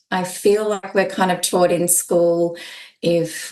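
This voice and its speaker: A woman speaks with an Australian accent at a fairly slow pace. Her pitch is fairly low. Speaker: holistic art therapist. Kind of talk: podcast interview.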